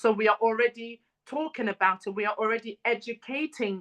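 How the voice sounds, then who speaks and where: A woman with an African accent, fairly high in pitch, at a moderate pace with fairly even intonation, in a dry, close sound with no echo. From Congolese family in Britain. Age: 30s. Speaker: mental health advocate and speaker. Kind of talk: talk. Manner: many fillers like um and you know.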